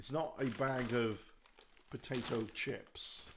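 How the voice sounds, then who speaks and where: Speaking in a British accent, the man has a medium pitch and fairly even intonation. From UK. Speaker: YouTuber. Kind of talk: live stream monologue. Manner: rambling with fillers.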